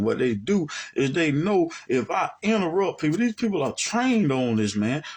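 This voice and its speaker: A man speaks with an American accent, his pitch swinging very widely. He keeps a moderate pace. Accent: Southern US (others pick at it). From US South, Alabama. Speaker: religious teacher. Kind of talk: monologue commentary. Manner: animated.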